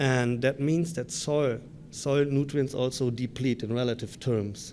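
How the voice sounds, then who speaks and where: Speaking at a moderate pace and medium pitch, a man with a German accent has a dark, mellow tone. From Germany. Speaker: grassland researcher. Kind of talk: conference presentation. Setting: conference session.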